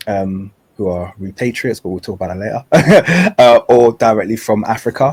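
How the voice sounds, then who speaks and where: Speaking with a London accent, a man has a medium pitch and ordinary pitch variation. He keeps a moderate pace while his loudness swings widely. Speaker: podcast host. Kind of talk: interview conversation.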